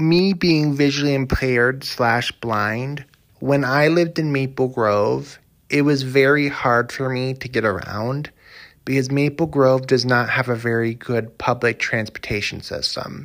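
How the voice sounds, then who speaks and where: At a fairly slow pace, a man with an American accent speaks at medium pitch with fairly even intonation, recorded very cleanly against a silent background. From Minnesota, US. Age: 20s. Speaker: podcaster. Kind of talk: solo monologue podcast. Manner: halting, repetitive.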